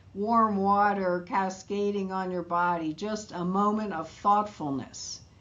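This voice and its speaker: Audible room echo surrounds a woman with an American accent who speaks at a fairly slow pace. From New York. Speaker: midlife wellness educator. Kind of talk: interview conversation.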